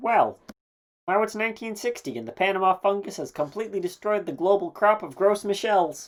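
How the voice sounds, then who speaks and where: A cartoonish character voice at a middle pitch moves along at a fairly quick pace. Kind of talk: educational explanation. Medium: puppet.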